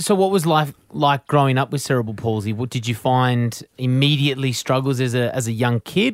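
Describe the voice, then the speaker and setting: Speaking at a fairly quick pace with hardly any pauses, a man with an Australian accent holds a medium pitch. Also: ordinary pitch variation. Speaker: podcast co-host. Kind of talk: casual interview chat.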